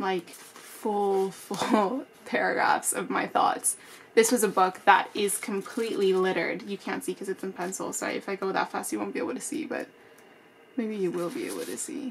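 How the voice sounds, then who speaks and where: Noticeable background noise accompanies this woman. Her intonation is lively. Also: medium pitch for a woman, moderate pace. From Spanish-speaking country, then Canada from age seven. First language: Spanish. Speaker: book YouTuber. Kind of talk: casual tutorial to camera. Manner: animated.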